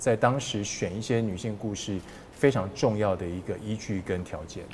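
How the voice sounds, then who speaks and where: This man talks at a moderate pace, his fairly low voice somewhat breathy and his pitch varying in an ordinary way. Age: 50s. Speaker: sports broadcaster. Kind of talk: casual interview.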